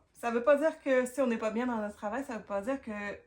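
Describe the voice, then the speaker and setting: In a Quebec accent, a woman talks with a fairly high pitch and ordinary pitch variation. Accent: Québécois French. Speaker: career coach. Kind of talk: advice talk to camera. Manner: casual, hesitant with fillers.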